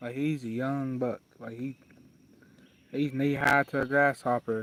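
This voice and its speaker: Speaking fairly slowly with an Appalachian accent, a man at medium pitch keeps a monotone, flat intonation in a dry, close recording without echo. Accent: Appalachian Southern US. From southwest Virginia, Wise County. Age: 20s. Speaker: fly tying streamer. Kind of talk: casual livestream chat and tutorial.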